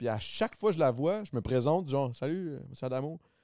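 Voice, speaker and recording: In a Quebec accent, a man with a dark, mellow tone speaks at a fairly quick pace with lively intonation, the sound dry with no echo and the background quiet. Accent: Québécois French. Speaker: podcast host. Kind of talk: casual chat; casual podcast conversation. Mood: relaxed, joking. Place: studio. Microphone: studio mic.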